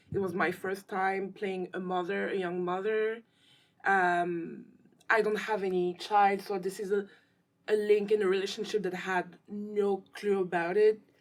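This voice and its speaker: In a French accent, the speaker talks at a moderate pace with flat, monotone intonation. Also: woman, medium pitch for a woman. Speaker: actress and filmmaker. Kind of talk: interview.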